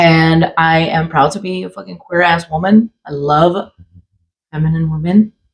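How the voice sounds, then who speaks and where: A somewhat breathy woman's voice in an American accent, fairly low in pitch, at a moderate pace with fairly even intonation. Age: 40s. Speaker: podcast co-host. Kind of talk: casual chat.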